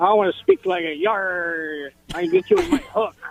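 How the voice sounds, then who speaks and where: Moderate speed and middle pitch in a put-on character voice. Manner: playful, growling.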